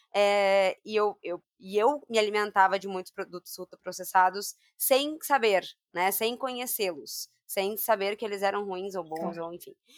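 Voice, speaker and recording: An ordinary speaking voice from a woman at a medium pitch, fairly slow, with ordinary pitch variation and big swings in loudness, dry and close with no echo in a very clean, silent recording. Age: 30s. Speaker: podcast host, nutritionist. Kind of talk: casual chat.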